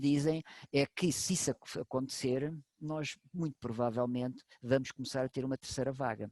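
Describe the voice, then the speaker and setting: With a dark, mellow tone and a fairly high pitch, a man talks at a fairly quick pace with ordinary pitch variation in a dry, close sound with no echo. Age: 60s. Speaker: medical doctor. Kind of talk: expert talk to online audience. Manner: animated.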